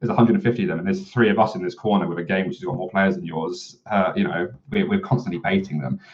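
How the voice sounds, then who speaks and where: Loud and very fast, a man with a fairly low pitch barely pauses as his voice makes very wide pitch swings. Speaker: former game developer. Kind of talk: interview. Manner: clear speech.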